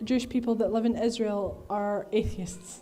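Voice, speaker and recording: A woman speaks at a fairly high pitch and a moderate pace. Audible room echo surrounds her voice. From Egyptian heritage. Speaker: activist speaker. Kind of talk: Q&A answer at a talk. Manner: hesitant with many fillers.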